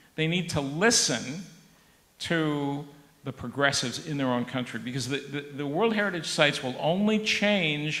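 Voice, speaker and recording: An American accent marks this man's fairly high voice, with lively intonation at a moderate pace. Room echo is audible. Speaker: professor. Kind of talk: panel discussion. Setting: conference with audience. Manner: halting.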